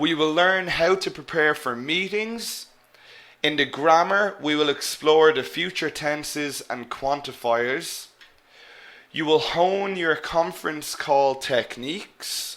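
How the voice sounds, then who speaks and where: A man with a fairly high voice speaks with an Irish accent. His pace is very slow, and his pitch varies in an ordinary way. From Ireland. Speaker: English teacher. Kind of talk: live online lecture. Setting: live webinar.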